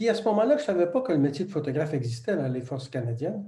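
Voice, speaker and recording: Somewhat breathy, this dark, mellow tone moves with ordinary pitch variation. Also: man. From Quebec. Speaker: retired photographer and business coach, ex-military. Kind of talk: interview.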